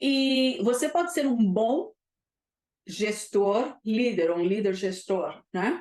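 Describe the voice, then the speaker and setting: The speaker has a non-native accent and lively intonation. Delivery is very slow, with very even loudness. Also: woman, fairly high pitch for a woman. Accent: foreign accent in Portuguese. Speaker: leadership mentor and consultant. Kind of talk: live webinar talk. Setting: live stream on Zoom and YouTube. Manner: hesitant, many fillers.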